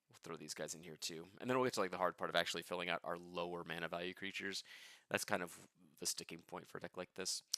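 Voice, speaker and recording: Speaking at a very fast pace, a man uses a very deep, low pitch with a bright, sharp tone and fairly even intonation. His loudness swings widely, and the sound is dry and close with no echo. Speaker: card game content creator. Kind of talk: casual livestream deckbuilding. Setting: home livestream.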